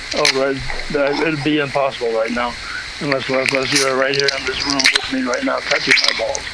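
Over noticeable background noise, a man talks at a fairly quick pace in a fairly high pitch with monotone, flat intonation. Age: 80s+. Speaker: caller. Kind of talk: phone sex chat. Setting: phone call.

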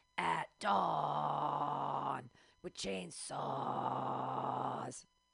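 A man's raspy, put-on character voice, pitched very deep and low, with very wide swings in pitch. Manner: growled, death metal style.

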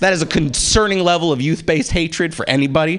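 A man is speaking. Background noise is noticeable. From North African heritage. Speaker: stand-up comedian. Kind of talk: stand-up. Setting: stage with audience.

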